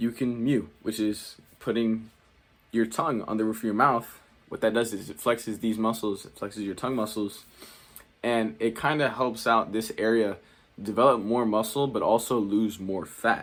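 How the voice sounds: With fairly even intonation, a man talks at a moderate pace in a fairly low pitch.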